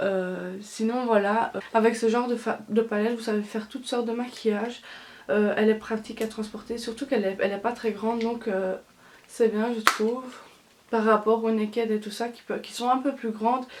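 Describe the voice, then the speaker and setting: A woman's fairly high, monotone, flat voice at a moderate pace, with noticeable background noise. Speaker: beauty vlogger. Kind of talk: product review vlog. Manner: halting, many fillers.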